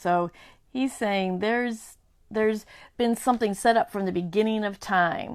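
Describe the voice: Ordinary pitch variation in plain reading aloud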